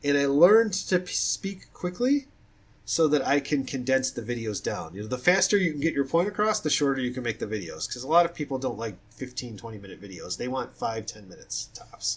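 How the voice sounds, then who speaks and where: Somewhat breathy and at a fairly high pitch, a man talks at a very fast pace with very wide pitch swings. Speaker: fiction writer. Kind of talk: casual talk about own writing. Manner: halting, with restarts.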